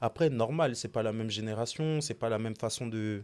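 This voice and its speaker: This man's voice sits at a medium pitch. It has a dark, mellow tone. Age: 20s. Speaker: sneaker designer. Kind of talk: casual podcast interview. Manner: calm, measured.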